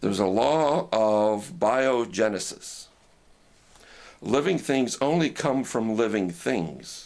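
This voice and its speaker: A man speaks very slowly at a medium pitch, with very wide pitch swings and long, frequent pauses. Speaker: ham radio operator and preacher. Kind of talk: casual talk to camera, teaching demonstration. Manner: conversational, explanatory.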